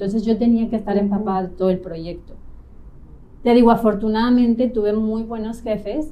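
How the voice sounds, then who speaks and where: In a Mexico City accent, a woman speaks at a fairly high pitch and a moderate pace with ordinary pitch variation. Audible room echo surrounds her voice. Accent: central Mexican Spanish (Mexico City). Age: 30s. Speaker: real estate agent, trained architect. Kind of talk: interview, personal story. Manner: calm, relaxed.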